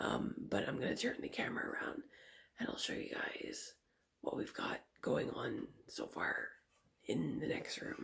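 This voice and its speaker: A whispering woman with long, frequent pauses. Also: moderate pace. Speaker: nail artist vlogger. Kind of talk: casual vlog. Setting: home at night, family asleep. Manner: quiet, conserving voice.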